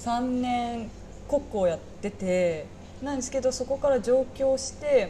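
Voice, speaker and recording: A woman's high-pitched voice at a fairly slow pace, over noticeable background noise. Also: ordinary pitch variation. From Saga, Japan. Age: 20s. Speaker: restaurant part-time worker. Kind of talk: casual chat.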